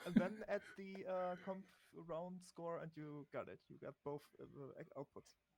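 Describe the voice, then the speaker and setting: In a non-native accent, a man speaks at a high pitch and a fairly slow pace with fairly even intonation and big swings in loudness, the sound dry and close with no echo. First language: not English. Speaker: experienced programmer helping. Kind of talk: casual coding help. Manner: halting, many fillers.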